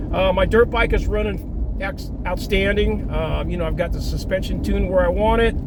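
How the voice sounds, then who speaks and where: A man's moderate-paced speech comes through audible room echo with noticeable background noise. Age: 60s. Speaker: dirt bike vlogger. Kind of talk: casual vlog monologue. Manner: casual with frequent fillers.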